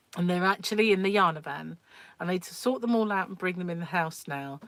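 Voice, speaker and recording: In a British accent, a woman speaks at a moderate pace with ordinary pitch variation. The recording is very clean, with a silent background. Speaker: livestream host, crochet and craft channel owner. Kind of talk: casual livestream chat.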